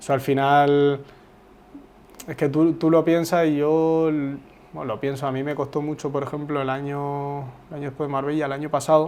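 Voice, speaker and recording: At a moderate pace, a man speaks with flat, monotone intonation in a fairly high pitch, leaving long, frequent pauses. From Uruguay, raised in Spain (Zaragoza). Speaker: footballer. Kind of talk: interview. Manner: casual, hesitant with repetitions.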